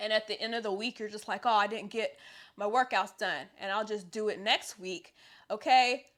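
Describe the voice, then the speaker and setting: A woman with an ordinary speaking voice talks at a moderate pace, her fairly high pitch moving with ordinary variation. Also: very clean recording, silent background. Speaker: personal trainer and fitness youtuber. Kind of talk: casual talk-to-camera advice video.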